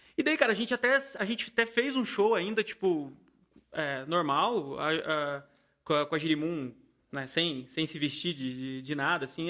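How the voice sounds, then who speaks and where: At a moderate pace, a man's bright, sharp voice rises and falls in very wide pitch swings, captured in a very clean recording with a silent background. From Paraíba, Brazil. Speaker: band musician. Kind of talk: casual chat.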